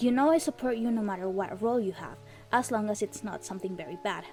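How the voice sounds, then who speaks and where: Music plays in the background as a woman with a non-native accent talks at a fairly quick pace. Her pitch is fairly high with ordinary variation. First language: not English. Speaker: indie game developer. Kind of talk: personal commentary video.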